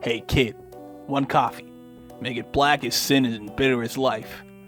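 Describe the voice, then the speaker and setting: A man uses a put-on character voice that is gruff, at medium pitch and a moderate pace. Clear music plays in the background. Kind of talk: terse noir slang. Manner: clipped, world-weary.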